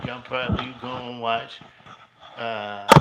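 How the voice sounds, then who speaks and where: A man is heard with audible room echo. Noticeable background noise is present too. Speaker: wrestling livestreamer. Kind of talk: casual livestream chat. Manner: loud; halting, many fillers.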